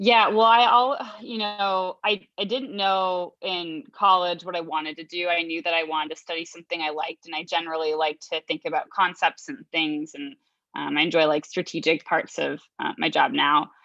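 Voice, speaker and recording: A woman's fairly low voice with a bright, sharp tone at a moderate pace. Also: ordinary pitch variation. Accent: Chicago. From US Midwest (Chicago). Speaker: sales executive. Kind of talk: interview.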